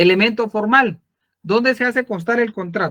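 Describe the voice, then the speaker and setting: A raised, projected voice at a fairly quick pace, bright and sharp in tone, with a dry, close sound and no echo. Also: man. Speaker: law lecturer. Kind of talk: online lecture.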